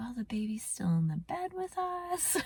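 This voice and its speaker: Using a put-on character voice with a fairly high pitch and very wide pitch swings, the speaker talks at a moderate pace over light background noise. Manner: guilty, apologetic.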